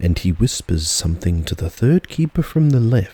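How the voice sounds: A natural reading voice is what this recording holds.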